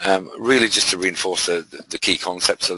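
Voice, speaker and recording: A man with a British accent at a fairly quick pace, in a dry, close sound with no echo. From UK. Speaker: trading mentor. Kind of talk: live webinar presentation. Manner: halting, many fillers.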